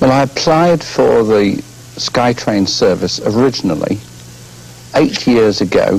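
A man talking at a fairly slow pace. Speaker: guest. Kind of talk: interview answer. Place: studio.

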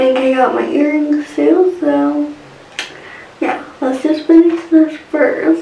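There is light background noise and audible room echo as a woman speaks at a very slow pace. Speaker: beauty vlogger. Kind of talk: casual vlog chat. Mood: relaxed, cheerful. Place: home room. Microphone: phone near.

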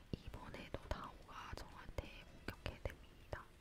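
A man whispering at a fairly slow pace over noticeable background noise. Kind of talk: casual gameplay commentary, talking to camera while playing.

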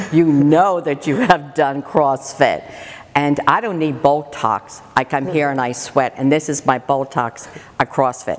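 A woman speaks at a very deep, low pitch with ordinary pitch variation. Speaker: interviewee. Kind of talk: interview answer. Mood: enthusiastic, upbeat. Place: gym.

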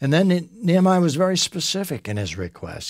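A man at a moderate pace, very wide pitch swings, a dry sound with no echo, and a quiet background. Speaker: Bible teacher. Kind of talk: Bible teaching talk. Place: studio.

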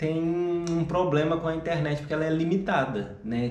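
There is audible room echo around a man's voice. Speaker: travel vlogger. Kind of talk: casual vlog chat. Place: home room. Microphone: camera far.

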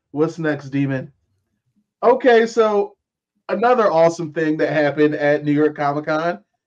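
With a fairly high pitch and ordinary pitch variation, a man speaks at a moderate pace, leaving long, frequent pauses. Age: 40s. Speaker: entertainment news podcast host. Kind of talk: casual chat. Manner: animated.

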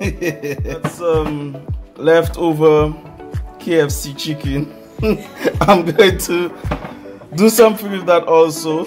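Music plays clearly in the background as a man speaks at a very slow pace. He leaves long, frequent pauses. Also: ordinary pitch variation. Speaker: vlogger. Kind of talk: casual vlog chat. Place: kitchen. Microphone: phone near.

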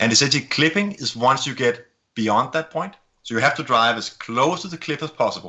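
With a Danish accent, a man speaks fairly quickly at a fairly high pitch with lively intonation. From Denmark. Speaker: camera company executive. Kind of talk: casual interview. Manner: quick talker.

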